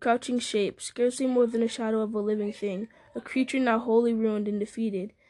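The intonation is fairly even. The text is read aloud in a natural voice.

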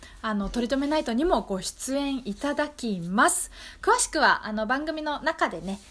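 A woman speaks at a moderate pace with very wide pitch swings. Noticeable background noise is present. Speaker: community radio host. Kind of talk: casual radio talk show.

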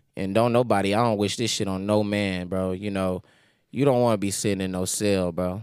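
A man speaks with an American accent and fairly even intonation. He talks at a fairly quick pace. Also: fairly low pitch for a man. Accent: doesn't sound like a typical Houston speaker. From Houston, Texas. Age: 20s. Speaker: rapper. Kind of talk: casual chat. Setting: live studio podcast with audience.

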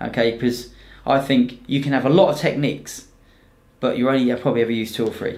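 The speaker has a southern English accent and talks at a very fast pace. Intonation stays fairly even. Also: man, medium pitch for a man. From southern England, Romsey near Southampton. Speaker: Brazilian jiu-jitsu competitor and instructor. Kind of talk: casual chat. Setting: studio with cameras.

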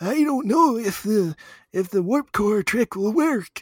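In a put-on character voice, a man talks very slowly at a high pitch. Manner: feeble, mockingly stupid.

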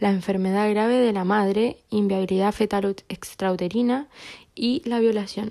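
A woman with a dark, mellow tone and a fairly high pitch talks at a fairly slow pace with fairly even intonation. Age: 20s. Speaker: psychology student and activist. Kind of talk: interview.

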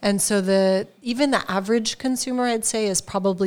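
A woman talks in a normal speaking voice with an American accent and fairly even intonation. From California, US. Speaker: wine importer, business owner. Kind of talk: casual chat. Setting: informal studio, live on an audio app.

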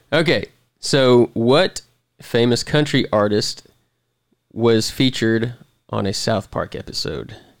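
Pausing long and often, a man speaks at a very slow pace with ordinary pitch variation. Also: medium pitch for a man, very clean recording, silent background. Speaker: podcast host. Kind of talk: casual chat.

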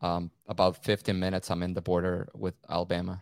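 With a Venezuelan accent, a man speaks at a very fast pace in a very deep, low pitch, the sound dry and close with no echo. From Caracas, Venezuela. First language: Spanish. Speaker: photographer and videographer. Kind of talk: casual chat. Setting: remote call, rain outside.

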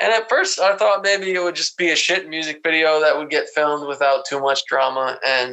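The man's pitch is fairly high with ordinary variation. He talks at a fairly quick pace. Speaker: podcast co-host. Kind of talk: casual vulgar comedy banter, ad parody. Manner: animated, profane.

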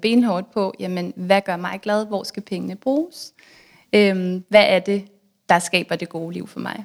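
In a very clean recording with a silent background, a woman with a normal speaking voice talks at a fairly slow pace and medium pitch with ordinary pitch variation. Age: 30s. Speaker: author and blogger on personal finance. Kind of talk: casual interview.

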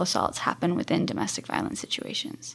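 A woman's voice with vocal fry at a fairly quick pace. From England. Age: 30s. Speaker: nonprofit founder and domestic violence advocate. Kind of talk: interview.

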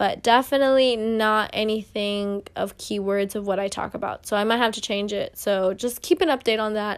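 Here a woman has a normal speaking voice, fairly high in pitch, moving at a moderate pace with hardly any pauses on a very clean recording with a silent background. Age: 20s. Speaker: solo podcast host. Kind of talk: casual monologue.

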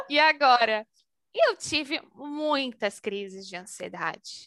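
Very clean and silent in the background, this recording has a woman with a raised, projected voice and a bright, sharp tone. Her high pitch makes very wide swings as she speaks at a very slow pace. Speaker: HR and talent manager. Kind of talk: casual interview.

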